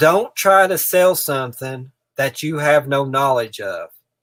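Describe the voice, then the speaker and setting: With a strong eastern Kentucky accent, a man talks at a fairly slow pace, his fairly high pitch carrying lively intonation. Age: 30s. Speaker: reseller, channel owner. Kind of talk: live stream chat. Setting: in a shed. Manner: casual, repetitive.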